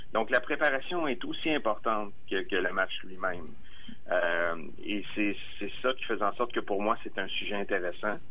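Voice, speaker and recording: The speech runs with hardly any pauses, carrying audible room echo and noticeable background noise. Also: man, fairly slow pace. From Quebec, Bellechasse region (Armagh). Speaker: documentary filmmaker. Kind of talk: interview. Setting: phone call.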